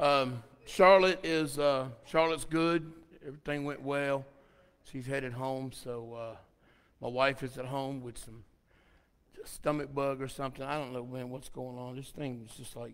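A man at a moderate pace, fairly even intonation, long and frequent pauses. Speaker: pastor. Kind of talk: casual announcements before the sermon, then prayer. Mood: relaxed, chatty. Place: church.

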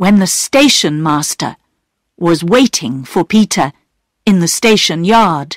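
In a quiet background, the text is delivered in an unforced reading voice.

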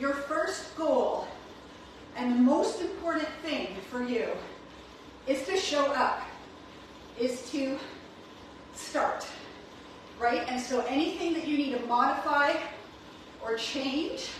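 With strong room echo and light background noise, the speaker goes at a very slow pace with long, frequent pauses and ordinary pitch variation. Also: woman, high pitch for a woman. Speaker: fitness coach. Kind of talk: workout class instruction. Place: gym. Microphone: camera far.

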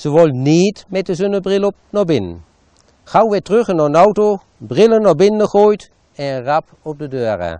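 At a fairly slow pace, a man with an Achterhoek accent speaks in a dark, mellow tone with lively intonation, the sound dry with no echo against a quiet background. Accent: Winterswijk dialect (Achterhoek Low Saxon). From Achterhoek, eastern Gelderland. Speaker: local author and storyteller. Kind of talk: dialect short story reading. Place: garden. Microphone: lapel.

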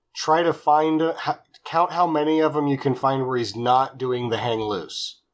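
A man speaks at a fairly slow pace, his fairly high pitch showing ordinary variation. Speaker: podcast co-host. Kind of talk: casual chat. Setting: remote call, webcam mic at first. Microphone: webcam.

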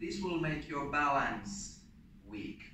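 A man talks with audible room echo and light noise in the background. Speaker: martial arts instructor. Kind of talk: tutorial. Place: gym. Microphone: camera far.

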